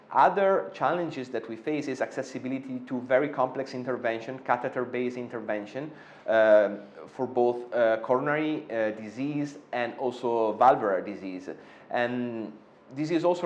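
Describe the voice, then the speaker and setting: With an Italian accent, a man speaks at a moderate pace, his medium pitch showing ordinary variation. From Italy. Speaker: interventional cardiologist. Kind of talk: interview. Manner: hesitant, many fillers.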